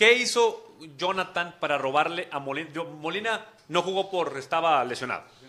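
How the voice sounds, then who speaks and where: Against noticeable background noise, a man with a high pitch talks at a moderate pace with ordinary pitch variation. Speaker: football podcast host. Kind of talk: casual chat. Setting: studio.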